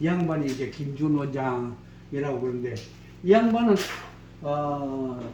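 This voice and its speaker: Noticeable background noise and audible room echo surround this recording. A man speaks very slowly with very wide pitch swings. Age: old. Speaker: museum guide / chairman of a research society. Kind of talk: guided exhibition tour talk. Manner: casual, storytelling with quoted dialogue.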